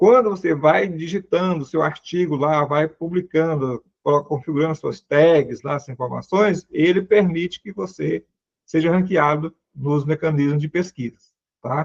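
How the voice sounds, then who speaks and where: In a dry, close sound with no echo, a man with a fairly high pitch and an ordinary speaking voice talks at a fairly slow pace. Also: ordinary pitch variation. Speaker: seminary lecturer. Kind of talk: lecture.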